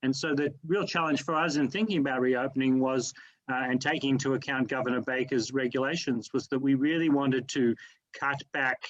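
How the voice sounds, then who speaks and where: With an Australian accent, a man speaks at a fairly quick pace and medium pitch, with fairly even intonation and very even loudness. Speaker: museum director. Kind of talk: panel discussion. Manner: halting, many fillers.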